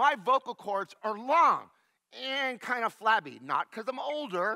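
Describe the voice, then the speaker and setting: A man's raised, projected voice, extremely high-pitched, bright and sharp, animated, with lively intonation, a fairly slow pace, and a dry, close sound with no echo. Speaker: science show presenter. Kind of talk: children's science demonstration. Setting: church sanctuary.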